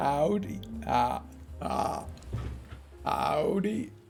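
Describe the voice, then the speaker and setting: A man puts on a croaky character voice over clear background noise. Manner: greeting, playful.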